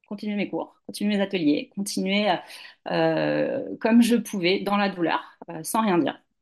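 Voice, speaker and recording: A woman at a medium pitch and a very slow pace. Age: 40s. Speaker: yoga teacher and doula. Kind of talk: interview testimony.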